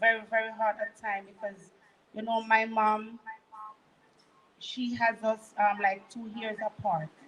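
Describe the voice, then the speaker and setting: Speaking in a Jamaican accent, a woman with a fairly high pitch talks at a fairly slow pace in a monotone, flat delivery, with long, frequent pauses and big swings in loudness. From Jamaica, Manchester parish. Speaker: guest sharing testimony. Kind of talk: testimony.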